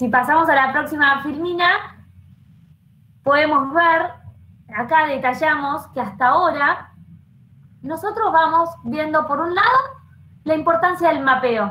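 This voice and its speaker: A raised, projected voice with ordinary pitch variation and long, frequent pauses, in a room with audible echo. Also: woman, high pitch for a woman, fairly slow pace. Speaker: program coordinator and panel moderator; panel moderator. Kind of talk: live online panel discussion. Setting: video call with online audience. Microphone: video call.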